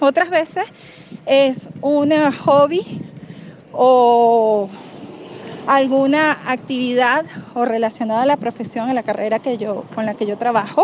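Pausing long and often, a woman with a high pitch talks at a very slow pace with ordinary pitch variation over noticeable background noise. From Venezuela. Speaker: survey respondent. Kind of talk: recorded voice message.

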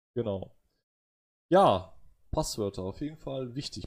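Somewhat breathy, a man speaks at a medium pitch and moderate pace. The recording is very clean, with a silent background. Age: 30s. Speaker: podcast host, computer scientist. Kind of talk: casual chat. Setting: live stream.

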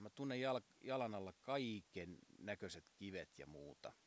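A man speaks at a very slow pace in a fairly low pitch with lively intonation. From southern Finland, Uusimaa region. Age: 40s. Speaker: podcast host, masseur and piano tuner. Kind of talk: casual monologue. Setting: outdoors on home terrace.

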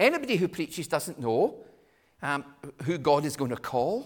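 This man has a Scottish accent and a fairly high pitch. His pitch swings very widely. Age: 60s. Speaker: visiting preacher. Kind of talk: sermon.

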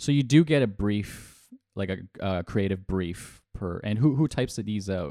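A man with an American accent speaks at a fairly slow pace, his pitch fairly low and his intonation lively. His tone is dark and mellow, on a very clean recording with a silent background. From US East Coast. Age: 30s. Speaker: podcast host. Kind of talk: casual interview. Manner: animated.

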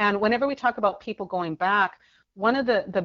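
A woman's voice sits at a medium pitch with ordinary pitch variation. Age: 40s. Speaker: author and abuse survivor activist. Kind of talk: interview.

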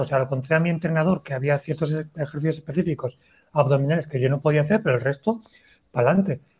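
His pitch is fairly high for a man, with ordinary variation. The voice is somewhat breathy. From Valencia, Spain. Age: 30s. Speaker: writer and cyclist. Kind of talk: casual interview chat. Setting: video call livestream.

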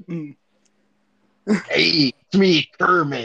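The speaker uses a put-on character voice. The pitch sits in the middle.

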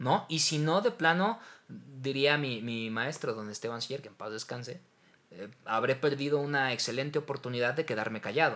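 A man's bright, sharp, fairly high voice with a Mexican accent, lively intonation and a moderate pace. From Mexico. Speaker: voice actor. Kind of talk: casual chat.

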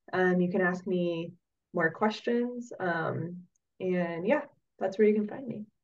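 A woman's plain, everyday voice with an American accent, medium in pitch with ordinary pitch variation, at a fairly slow pace. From Oregon, US. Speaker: coffee roaster and former soil scientist. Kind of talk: casual interview.

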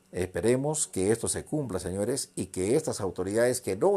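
A man talks fairly slowly in a dark, mellow tone with ordinary pitch variation, in a very clean recording with a silent background. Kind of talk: angry political rant, denunciatory monologue. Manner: indignant, accusatory, loud; halting, repeats words.

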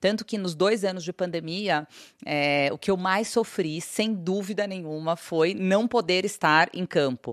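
In a dry, close sound with no echo and a quiet background, a woman with medium pitch and ordinary pitch variation talks at a fairly slow pace in an unremarkable speaking voice. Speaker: business executive. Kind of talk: interview.

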